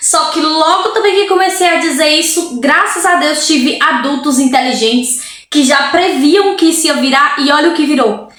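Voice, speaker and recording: With a Brazilian accent, a woman speaks at a high pitch and moderate pace in an animated tone with lively intonation, over noticeable background noise and audible room echo. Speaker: vlogger. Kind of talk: casual vlog monologue.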